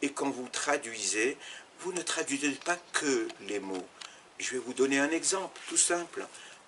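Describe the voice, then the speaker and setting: A man talks at a very slow pace in a fairly high voice with lively intonation. Noticeable background noise runs behind him. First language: Arabic and French (bilingual) (speaking French). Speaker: Arabic teacher and former interpreter. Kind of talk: interview. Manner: halting, many repetitions and fillers.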